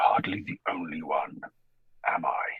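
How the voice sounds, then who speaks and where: A put-on character voice, growling, at a moderate pace. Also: man, very deep, low pitch for a man. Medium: actual play.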